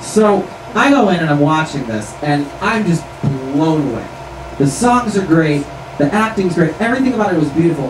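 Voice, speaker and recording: Noticeable background noise runs beneath a man talking at a moderate pace. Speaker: storyteller. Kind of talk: stage patter, comic storytelling. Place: stage.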